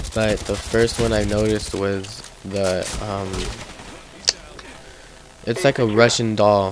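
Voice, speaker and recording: There is noticeable background noise. Through it, a man talks in a fairly low pitch. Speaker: gaming commentator. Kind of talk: casual gameplay commentary.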